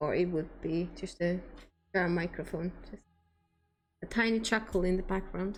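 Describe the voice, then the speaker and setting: Speaking with a non-native accent, a woman keeps a moderate pace and fairly even intonation, pausing long and often. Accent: non-native accent, milder than Scottish. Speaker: game streamer. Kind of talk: casual chat. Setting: live stream. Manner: soft-spoken.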